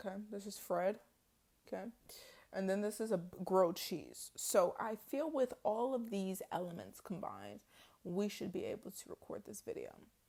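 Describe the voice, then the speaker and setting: Speaking at a moderate pace, a woman sounds animated, with big swings in loudness. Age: 20s. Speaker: poet and vlogger. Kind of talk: casual vlog talk.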